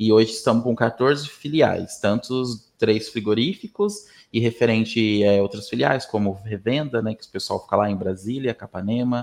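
A man speaks in a normal speaking voice at a medium pitch and moderate pace, with ordinary pitch variation and a quiet background. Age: 20s. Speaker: HR professional. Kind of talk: interview.

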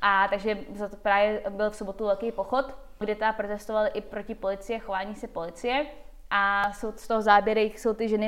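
Speaking at a moderate pace, a woman uses a medium pitch with monotone, flat intonation. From Czech Republic and USA. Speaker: skeptic organization president. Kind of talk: casual interview chat.

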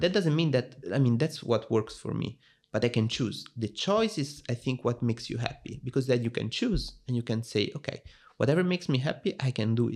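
Somewhat breathy and with lively intonation, the speaker talks at a fairly quick pace in an Italian accent. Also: man, medium pitch for a man. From Italy. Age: 20s. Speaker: software engineer. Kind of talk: casual interview.

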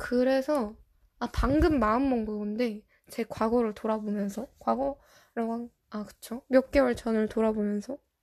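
A woman with a normal speaking voice, fairly high in pitch, at a fairly slow pace with fairly even intonation, against a quiet background. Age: 20s. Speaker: podcast host. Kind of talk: casual solo podcast talk. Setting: recording at home late at night.

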